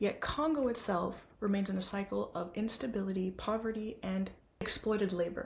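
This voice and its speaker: Somewhat breathy, a woman's voice moves at a moderate pace in a medium pitch with ordinary pitch variation. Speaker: student. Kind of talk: class presentation.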